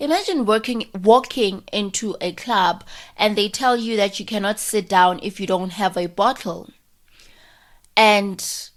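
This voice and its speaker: Very clean, noise-free audio over a silent backdrop, carrying an animated tone. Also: woman. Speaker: podcast host. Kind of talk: casual monologue.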